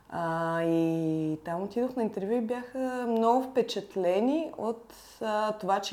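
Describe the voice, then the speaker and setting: A woman's dark, mellow tone with lively intonation. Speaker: visual artist. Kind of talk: casual chat.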